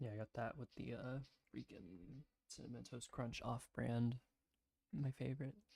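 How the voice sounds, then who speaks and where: A soft-spoken man with an American accent, somewhat breathy, his tone dark and mellow, with ordinary pitch variation, long and frequent pauses, and a dry, close sound with no echo. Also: medium pitch for a man, moderate pace. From US South, South Carolina. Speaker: streamer. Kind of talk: casual chat. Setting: livestream at home. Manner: halting.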